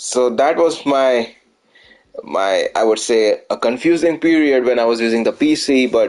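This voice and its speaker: A man speaks at a medium pitch with an Indian accent. His pace is fairly slow and his intonation lively. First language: Hindi. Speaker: gaming streamer. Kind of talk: live gameplay commentary. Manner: halting.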